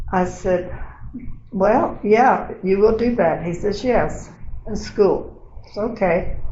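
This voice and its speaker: Amid noticeable background noise and audible room echo, a woman speaks at a medium pitch and a very slow pace, with ordinary pitch variation and long, frequent pauses. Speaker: oral history interviewee, retiree. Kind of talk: oral history interview. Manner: conversational, storytelling.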